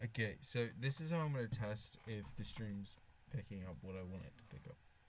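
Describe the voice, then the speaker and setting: Speaking at a fairly quick pace with a British accent, the voice makes very wide pitch swings. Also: man, fairly low pitch for a man. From Britain. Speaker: streamer. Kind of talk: casual live stream chat. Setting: live stream, wearing a face mask. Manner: halting, with restarts and fillers.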